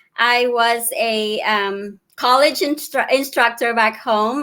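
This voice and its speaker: A woman with a Filipino accent speaks very slowly in a bright, sharp tone, with ordinary pitch variation. The recording is very clean, with a silent background. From Philippines, Davao. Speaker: digital business owner and mentor. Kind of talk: casual interview. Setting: live video stream.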